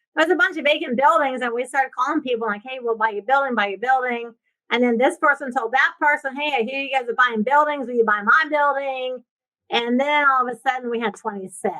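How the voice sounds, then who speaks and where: Raised and projected, a woman's high, bright, sharp voice races at a very fast pace in an animated tone with ordinary pitch variation. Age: 60s. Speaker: real estate investor and coach. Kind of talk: podcast interview.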